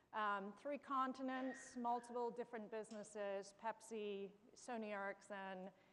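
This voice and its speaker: A woman with a fairly high voice speaks at a moderate pace. She has a slight English accent and fairly even intonation. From England, London. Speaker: chief marketing officer. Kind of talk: panel discussion.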